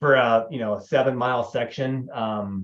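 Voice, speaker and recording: We hear a man. His pitch is medium. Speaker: ultra runner. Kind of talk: tutorial. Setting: livestream. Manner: fast.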